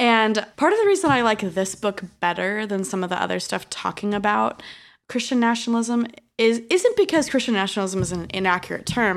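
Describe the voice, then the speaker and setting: With an enthusiastic tone, a woman speaks fairly quickly at a medium pitch with ordinary pitch variation, on a very clean recording with a silent background. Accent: American. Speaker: sociologist, postdoctoral researcher.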